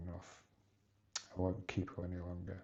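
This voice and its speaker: Somewhat breathy, a man speaks at a very deep, low pitch with a dark, mellow tone. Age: 60s. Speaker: vlogger. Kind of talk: personal vlog monologue. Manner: halting.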